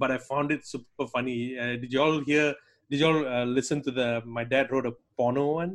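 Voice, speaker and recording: A man speaks in an unremarkable speaking voice at medium pitch. His intonation stays fairly even at a moderate pace. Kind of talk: panel discussion.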